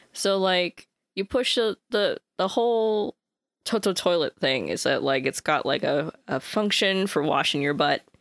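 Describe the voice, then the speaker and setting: In a very clean recording with a silent background and a dry, close sound with no echo, a woman with an American accent and an unremarkable speaking voice talks at medium pitch and a fairly slow pace, with lively intonation and very even loudness. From United States. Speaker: podcast co-host. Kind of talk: casual chat.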